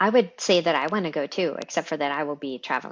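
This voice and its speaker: Against a quiet background, the words come out at a fairly quick pace. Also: woman. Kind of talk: casual podcast conversation.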